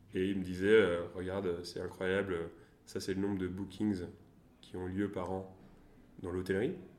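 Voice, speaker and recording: A man speaks with a very deep, low pitch and monotone, flat intonation. Long, frequent pauses break his speech, and audible room echo surrounds it. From France, Tours. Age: 20s. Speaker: venture capital investor. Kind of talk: interview. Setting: coworking space. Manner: halting.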